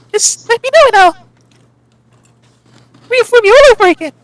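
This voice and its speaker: A woman puts on a squeaky character voice at an extremely high pitch, talking at a fairly quick pace with lively intonation. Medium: actual play. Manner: warm, slightly rambling.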